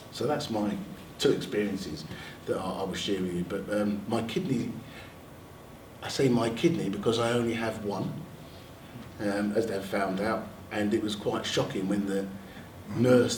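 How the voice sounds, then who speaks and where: A man's medium-pitched voice at a moderate pace, with long, frequent pauses, audible room echo, and noticeable background noise. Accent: London. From London. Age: 60s. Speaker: NHS staff member and army veteran. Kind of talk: panel talk sharing personal experience.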